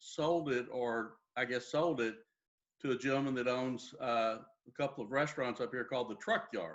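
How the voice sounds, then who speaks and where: A man with a Texan accent speaks at a moderate pace in a medium pitch, with fairly even intonation. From Texas, Dallas. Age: 60s. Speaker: real estate agent. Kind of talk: interview.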